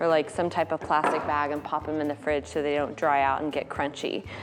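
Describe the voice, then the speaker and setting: A woman talks while music plays in the background. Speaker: florist. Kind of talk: DIY tutorial talk to camera.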